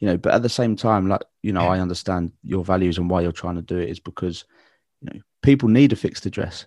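A man speaks very fast in a very deep, low voice with ordinary pitch variation and big swings in loudness. The sound is dry and close with no echo against a quiet background. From southeast London. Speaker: podcast host. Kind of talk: casual podcast interview.

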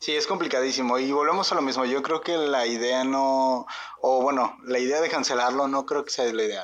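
Speaking in a Mexican accent at a moderate pace, a man keeps a medium pitch and very even loudness. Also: ordinary pitch variation. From Mexico. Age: 20s. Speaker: podcast co-host. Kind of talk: casual chat.

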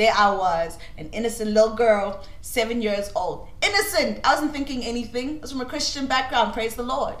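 A woman's high-pitched, animated voice with lively intonation, big swings in loudness, moderate pace and hardly any pauses, over noticeable background noise. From Cameroon. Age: 20s. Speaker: student and voice-over artist. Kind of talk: casual chat.

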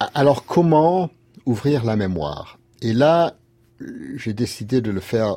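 An English accent marks this man's speech, set at a medium pitch. His pitch swings very widely. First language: English (speaking French). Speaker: lawyer and writer. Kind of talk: interview. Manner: halting.

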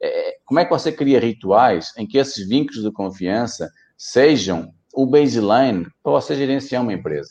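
A man with a dark, mellow tone and vocal fry speaks with lively intonation. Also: medium pitch for a man, moderate pace. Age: 40s. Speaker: company executive. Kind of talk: interview.

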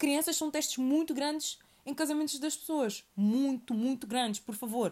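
A high-pitched woman in a European Portuguese accent, animated in tone with lively intonation. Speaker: podcast host. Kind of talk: solo monologue podcast. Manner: animated, repetitive.

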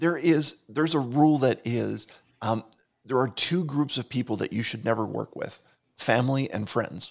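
The speaker has an American accent, vocal fry and ordinary pitch variation. The recording is very clean, with a silent background. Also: man, medium pitch for a man, moderate pace. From Pittsburgh, US. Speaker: motivational speaker and podcast producer. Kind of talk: casual interview. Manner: talkative.

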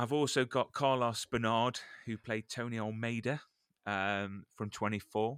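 Dry and close with no echo, a man with an unremarkable speaking voice talks at a fairly slow pace, medium in pitch and fairly even in intonation. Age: 40s. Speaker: podcast host, former holiday entertainer. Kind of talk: casual chat.

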